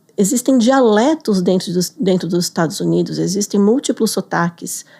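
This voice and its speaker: A woman talks at a medium pitch and a moderate pace, with vocal fry. The sound is dry and close, with no echo. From Brazil. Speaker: business English teacher. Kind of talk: interview.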